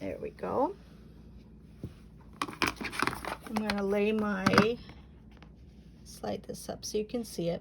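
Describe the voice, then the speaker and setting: A woman talks at a very slow pace with long, frequent pauses. Noticeable background noise runs underneath. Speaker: quilting teacher. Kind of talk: tutorial. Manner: casual, chatty.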